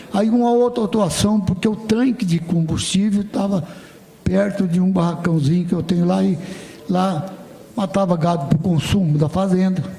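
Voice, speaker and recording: A man's high-pitched voice at a moderate pace, very even loudness, noticeable background noise. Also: ordinary pitch variation. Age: 80s+. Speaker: state legislator and farmer. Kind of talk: parliamentary debate.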